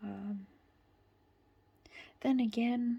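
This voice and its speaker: Somewhat breathy and dark, mellow in tone, a woman speaks very slowly with a British accent and fairly even intonation. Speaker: tarot reader. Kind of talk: tarot reading to camera.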